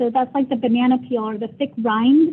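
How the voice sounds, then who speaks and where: Holding a fairly even intonation, a woman speaks at a high pitch. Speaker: pediatric orthopedic clinician lecturer. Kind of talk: lecture. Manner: fast; informal.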